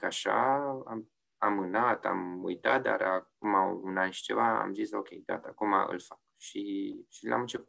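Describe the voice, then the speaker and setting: The background is quiet as a man speaks. His voice is fairly low-pitched, with lively intonation. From Romania, Oradea. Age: 30s. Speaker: yacht insurance sales executive and designer. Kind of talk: interview. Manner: hesitant, many fillers and repetitions.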